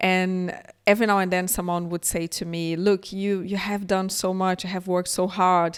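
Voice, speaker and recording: A woman's monotone, flat delivery with a Brazilian Portuguese accent, in a very clean recording with a silent background. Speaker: tech entrepreneur, keynote speaker. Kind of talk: keynote talk. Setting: conference.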